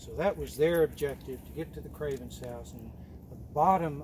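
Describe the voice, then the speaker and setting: Noticeable background noise sits behind this man's voice. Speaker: hike guide telling local history. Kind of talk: informal historical talk to a group. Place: forest.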